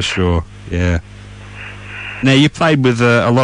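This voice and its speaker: A man talks at a medium pitch and a fairly quick pace. He has a plain, everyday voice. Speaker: radio presenter. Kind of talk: interview questions.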